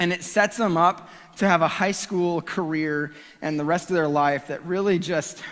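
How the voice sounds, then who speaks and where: Loud and animated, a man speaks at a high pitch and a fairly slow pace. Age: 30s. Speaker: youth pastor. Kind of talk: sermon.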